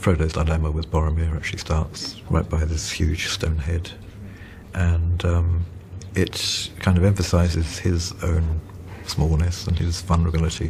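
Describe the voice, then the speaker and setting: A soft-spoken man talks at a moderate pace in a very deep, low pitch. His intonation is monotone and flat, and there is noticeable background noise. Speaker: illustrator and concept artist. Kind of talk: film audio commentary.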